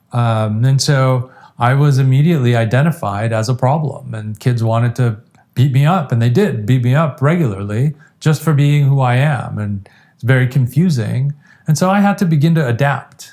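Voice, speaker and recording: Man with an American accent, medium pitch and a dark, mellow tone, somewhat breathy, with ordinary pitch variation at a moderate pace. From Iran, then US from age ten. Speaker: addiction treatment specialist. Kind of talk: interview conversation.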